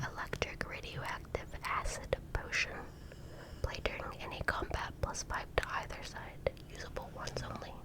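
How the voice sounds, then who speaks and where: Whispering over noticeable background noise. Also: moderate pace. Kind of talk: ASMR card reading. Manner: whispered, soft-spoken.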